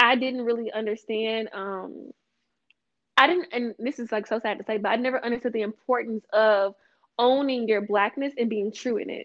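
In a Louisiana accent, a woman with a fairly high pitch speaks with fairly even intonation. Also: moderate pace. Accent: Southern US (Louisiana). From Louisiana (Vidalia). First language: American Sign Language. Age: 20s. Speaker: small business founder. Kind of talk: casual interview.

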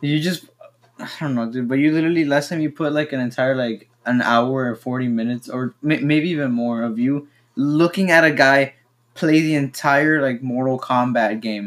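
A man with a Spanish accent at a fairly high pitch, ordinary pitch variation and moderate pace, on a very clean recording with a silent background. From Mexico. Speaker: podcast co-host. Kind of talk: casual chat.

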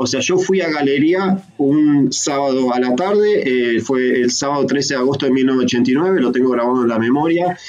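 A man with a Rioplatense accent speaks fairly slowly at a medium pitch with ordinary pitch variation, very even loudness and hardly any pauses, against noticeable background noise and audible room echo. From Buenos Aires province, Argentina. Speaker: podcast guest. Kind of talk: casual chat.

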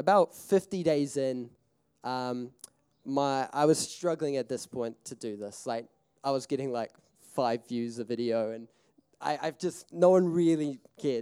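Speaking with a New Zealand accent, a man has a dark, mellow tone and ordinary pitch variation. His pace is fairly slow, with long, frequent pauses. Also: medium pitch for a man. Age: 20s. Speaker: filmmaker and festival speaker. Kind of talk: seminar talk, personal storytelling. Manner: casual, animated.

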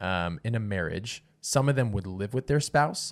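A fairly low male voice with very wide pitch swings at a fairly quick pace. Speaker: podcast host. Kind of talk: casual chat. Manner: joking, teasing.

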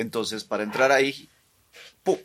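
Pitched in the medium range, a man speaks with fairly even intonation. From Guatemala. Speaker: visual artist. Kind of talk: casual interview chat.

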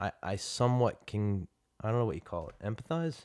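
A man with a plain, everyday voice, fairly low in pitch, with an American accent, at a fairly quick pace, in a very clean recording with a silent background and a dry, close sound with no echo. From Trenton, New Jersey. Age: 40s. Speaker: martial arts teacher. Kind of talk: casual chat. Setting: at home.

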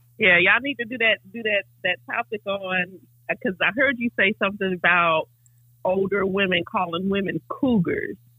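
At a moderate pace, a woman speaks in an unremarkable speaking voice, medium in pitch with ordinary pitch variation. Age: 40s. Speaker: caller. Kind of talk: casual chat. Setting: phone call.

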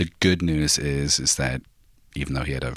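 The voice has a bright, sharp tone with vocal fry and moves at a moderate pace. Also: man. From US Northwest. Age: 20s. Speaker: interviewee, Trump voter. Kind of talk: interview answers.

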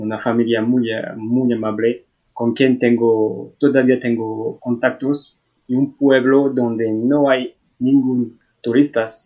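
Very slowly and in a flat monotone, a man with a French accent speaks at a medium pitch. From France. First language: French (speaking Spanish). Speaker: traveller. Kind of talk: casual chat. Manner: halting.

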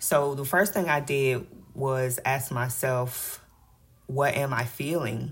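Very slowly and somewhat breathily, a woman with a very deep, low pitch speaks with ordinary pitch variation. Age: 30s. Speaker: podcast host and financial coach. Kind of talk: faith-based motivational monologue. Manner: animated.

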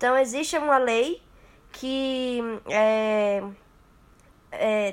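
Here a woman speaks at a high pitch with ordinary pitch variation. The recording is very clean, with a silent background. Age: young. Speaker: architecture student. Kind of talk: interview.

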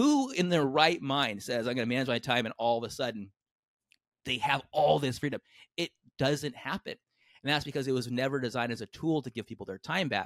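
At a fairly quick pace, a man with a General American accent talks at medium pitch in a plain, everyday voice. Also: ordinary pitch variation, very clean recording, silent background. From US West Coast, San Diego. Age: 40s. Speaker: entrepreneur and author. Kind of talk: casual interview.

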